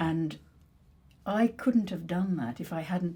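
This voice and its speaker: A woman with a dark, mellow tone and fairly low pitch speaks very slowly, somewhat breathy, with lively intonation. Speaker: actress. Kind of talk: conversational discussion.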